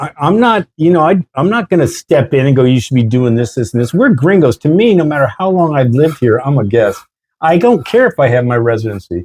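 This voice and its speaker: Speaking with an American accent at a fairly quick pace, a man with a fairly high, somewhat breathy voice makes very wide pitch swings, recorded with a dry, close sound and no echo. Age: 60s. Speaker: expat interviewer. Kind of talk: casual interview. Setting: balcony.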